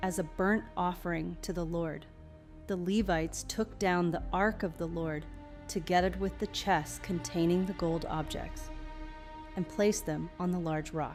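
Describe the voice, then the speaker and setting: A woman speaks fairly slowly. Background music accompanies her. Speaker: Bible reader for sleep. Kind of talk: scripture reading. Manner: soft-spoken; slow, peaceful.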